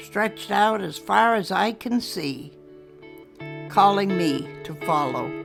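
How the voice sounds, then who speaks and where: A woman at a very slow pace, her pitch swinging very widely, with music in the background. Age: 80s+. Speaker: poet. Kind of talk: poetry reading.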